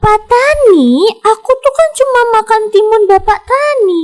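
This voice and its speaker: Someone performs a put-on character voice at a moderate pace. Music plays in the background. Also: woman, extremely high pitch for a woman. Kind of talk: childlike, storytelling. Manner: cheeky.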